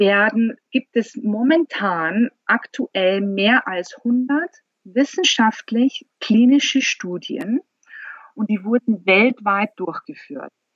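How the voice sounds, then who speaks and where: A woman speaks very slowly in a fairly high, somewhat breathy voice with lively intonation. The sound is dry and close, with no echo. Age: 40s. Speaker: company founder. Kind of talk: interview.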